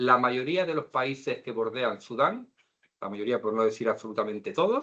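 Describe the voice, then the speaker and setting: Here a man speaks at medium pitch with a Canary Islands accent. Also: ordinary pitch variation, moderate pace. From Canary Islands, Spain. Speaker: lecturer. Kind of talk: lecture.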